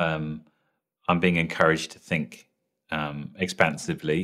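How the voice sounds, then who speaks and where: Spoken in a British accent, the voice has a bright, sharp tone and monotone, flat intonation. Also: man. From London, England. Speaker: TV showrunner and writer. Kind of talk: interview.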